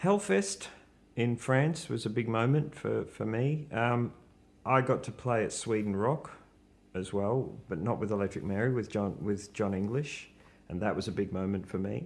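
Ordinary pitch variation accompanies a moderate pace in this delivery. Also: man, fairly low pitch for a man. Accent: Australian. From Australia. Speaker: rock guitarist. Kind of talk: casual chat. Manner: halting. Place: home room. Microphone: studio mic.

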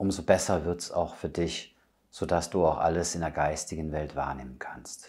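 A man speaks in a calm, soothing tone. The background is quiet. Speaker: medium and spiritual healer. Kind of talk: guided meditation. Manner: calm, slow, soothing; gentle, intimate, addressing listener as du. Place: home room.

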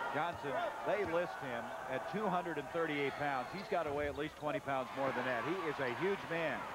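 A man at a fairly slow pace, dry sound with no echo, loud background noise behind him. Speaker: play-by-play sports announcer. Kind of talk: live commentary.

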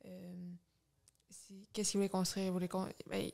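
A woman's voice against a quiet background. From Quebec. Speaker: former candidate, student organizer; candidate. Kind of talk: interview. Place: home room. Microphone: studio mic.

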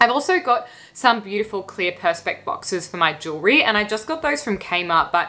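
Very wide pitch swings run through this woman's speech. She keeps a fairly quick pace. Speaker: lifestyle vlogger. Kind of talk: casual vlog chat. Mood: warm, upbeat. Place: home room.

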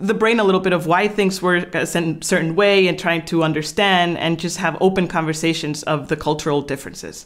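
An animated woman with a Spanish accent, fairly low in pitch with ordinary variation, at a fairly quick pace. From Guatemala. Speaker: YouTuber and expat life content creator. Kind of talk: casual conversational video. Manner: animated, laughs often.

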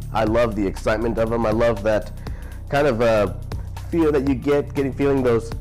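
A man speaks at a fairly quick pace with medium pitch. Faint music plays in the background. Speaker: voice actor. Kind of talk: casual talk to camera. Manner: natural, conversational. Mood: enthusiastic, warm. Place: studio.

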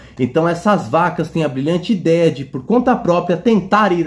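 The speaker talks at a moderate pace in a Brazilian accent. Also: man. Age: 30s. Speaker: film YouTuber. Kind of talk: video list review. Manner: animated. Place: home room. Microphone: phone near.

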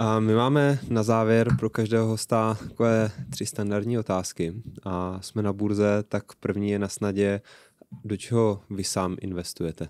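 Fairly slow, fairly even speech against a quiet background, the sound dry with no echo. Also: man, fairly low pitch for a man. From Czech Republic. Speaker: podcast host. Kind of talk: interview. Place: studio. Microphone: studio mic.

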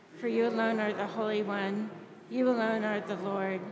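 With noticeable noise behind her, a woman talks at a fairly slow pace with fairly even intonation. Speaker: priest leading a service. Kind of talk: liturgical reading. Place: church.

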